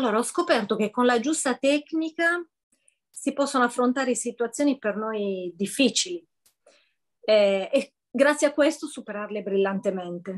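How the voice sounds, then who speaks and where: With lively intonation and long, frequent pauses, a woman speaks at a high pitch and a moderate pace against a quiet background. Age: 50s. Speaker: coaching client. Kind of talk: testimony. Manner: hesitant, many fillers. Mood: warm, smiling, grateful. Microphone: video call.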